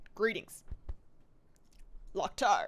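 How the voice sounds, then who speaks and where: A put-on character voice, gruff and squeaky, pitched high. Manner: guttural greeting.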